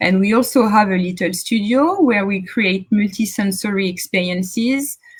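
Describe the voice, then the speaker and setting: A somewhat breathy woman with a French accent talks at a fairly slow pace. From central France. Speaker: tech founder. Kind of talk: conference talk. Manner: halting.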